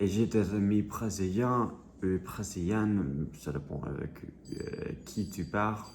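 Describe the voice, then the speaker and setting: A man with an American accent speaks at a very slow pace in a fairly low pitch with ordinary pitch variation. Audible room echo and noticeable background noise surround him. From US. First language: English (speaking French). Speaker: vlogger. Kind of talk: casual vlog monologue. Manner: halting, many hesitations.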